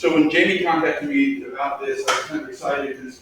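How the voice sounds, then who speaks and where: There is noticeable background noise as a man with an American accent talks at a fairly quick pace. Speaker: licensed clinical social worker and therapist. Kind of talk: presentation to school staff. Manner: fast.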